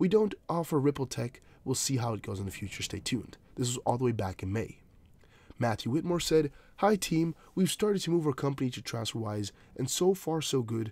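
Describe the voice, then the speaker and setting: A man's somewhat breathy voice at a fairly quick pace, with very wide pitch swings. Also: medium pitch for a man. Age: young. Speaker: crypto news youtuber. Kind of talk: casual vlog commentary.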